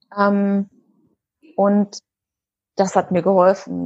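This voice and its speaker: A woman's somewhat breathy voice comes through with a dry, close sound and no echo. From Germany, Berlin. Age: 30s. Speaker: eating disorder coach and part-time nurse. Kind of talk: interview.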